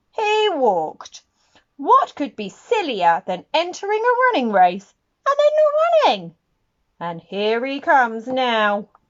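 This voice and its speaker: Doing a put-on character voice, a woman speaks high and fairly slowly with very wide pitch swings. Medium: read story. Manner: stately, announcing.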